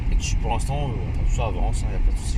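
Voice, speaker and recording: A man rattles along at a very fast pace, with noticeable background noise and audible room echo around him. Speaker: car reviewer, YouTuber. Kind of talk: casual car test-drive commentary. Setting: in a car, driving. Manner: loud; halting, many fillers.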